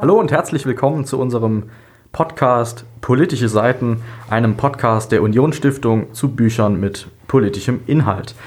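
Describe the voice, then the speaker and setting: A man talks at a moderate pace in a medium pitch, somewhat breathy, with ordinary pitch variation. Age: 20s. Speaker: podcast host, medical student. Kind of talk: scripted intro.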